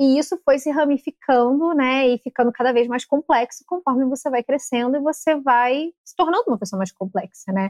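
A woman with a high pitch speaks at a moderate pace with hardly any pauses. The sound is dry and close, with no echo. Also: ordinary pitch variation, big swings in loudness. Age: 20s. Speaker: content creator. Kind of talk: casual chat.

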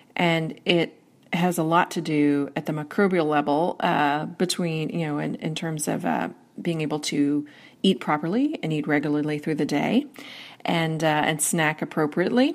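A woman with a very deep, low pitch speaks at a moderate pace with an American accent and ordinary pitch variation, on a very clean recording with a silent background. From US Northeast. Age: 40s. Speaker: workplace strategist and author. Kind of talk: interview.

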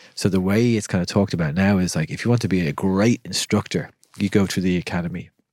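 With a Dublin accent, a man talks at a fairly quick pace in a very deep, low voice with a calm tone and a dry, close sound with no echo. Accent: Irish (Dublin). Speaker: breathwork instructor. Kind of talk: casual chat.

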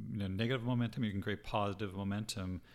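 A man with an unremarkable speaking voice talks at a fairly quick pace with ordinary pitch variation. The recording is very clean and the background silent. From Canada. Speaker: podcast co-host. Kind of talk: casual chat.

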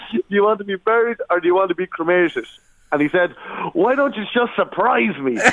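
Against noticeable background noise, a man talks at a fairly quick pace, his high-pitched voice full of lively intonation. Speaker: comedian. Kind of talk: casual chat.

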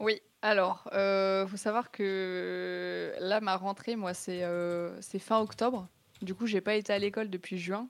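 Very slowly and in a monotone, flat intonation, a woman speaks at a medium pitch on a very clean recording with a silent background. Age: 20s. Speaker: esports student and streamer. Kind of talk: interview. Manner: casual, slangy with hesitations.

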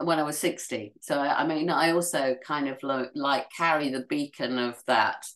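A woman is speaking at a fairly slow pace. Her pitch varies in an ordinary way. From Yorkshire, northern England. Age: 70s. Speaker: writer and journalist. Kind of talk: interview conversation.

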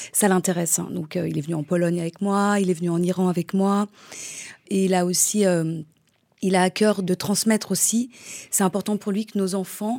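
A woman with a plain, everyday voice speaks at a moderate pace and medium pitch, with fairly even intonation, in a very clean recording with a silent background. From France, Polish-Iranian parents. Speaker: mother. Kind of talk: personal testimony.

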